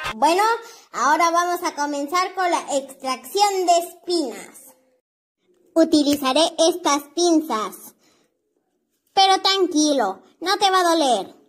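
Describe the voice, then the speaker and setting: An extremely high, cartoonish character voice talks at a fairly slow pace. It leaves long, frequent pauses. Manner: calm, reassuring.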